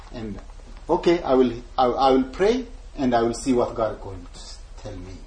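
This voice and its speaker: In an Ethiopian accent, a man talks at a moderate pace. He leaves long, frequent pauses. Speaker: missionary evangelist. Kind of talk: talk to a church group about his life and ministry. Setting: church gathering with audience. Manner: halting, apologetic about his English.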